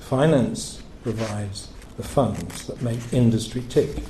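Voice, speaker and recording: There is noticeable background noise and audible room echo. The pitch varies in an ordinary way. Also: man. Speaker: financier, event speaker. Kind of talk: after-dinner speech. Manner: hesitant, with fillers.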